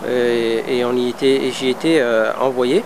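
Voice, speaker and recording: A man's medium-pitched voice is heard over noticeable background noise. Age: 30s. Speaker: former Guantanamo detainee, vocational trainer. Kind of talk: testimony. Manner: halting, many hesitations.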